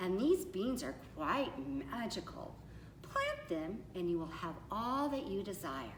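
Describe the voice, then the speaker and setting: A female-sounding put-on character voice at a middle pitch and a fairly slow pace, with clear background noise. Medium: read story.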